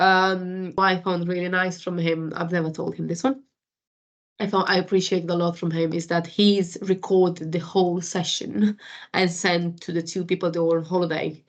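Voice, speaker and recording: A woman with a non-native accent speaks at a moderate pace. Her fairly low voice stays in a flat monotone. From Romania. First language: Romanian. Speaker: food industry supervisor. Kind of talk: interview. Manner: halting.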